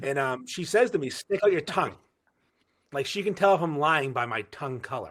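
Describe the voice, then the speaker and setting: A man with a fairly high voice talks at a fairly quick pace, his tone animated and his intonation lively. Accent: Boston. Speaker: podcaster. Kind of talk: casual chat.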